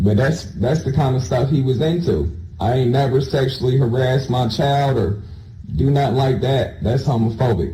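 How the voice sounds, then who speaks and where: A man of medium pitch talks in a normal speaking voice at a moderate pace. His loudness stays very even, and his pitch varies in an ordinary way. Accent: American. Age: 30s. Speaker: homicide suspect. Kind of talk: police interrogation. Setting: interrogation room.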